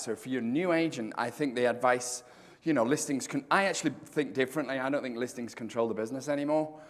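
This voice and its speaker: A man at a medium pitch, talking at a very fast pace in an animated tone with ordinary pitch variation. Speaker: real estate speaker. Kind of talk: conference talk. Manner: loud.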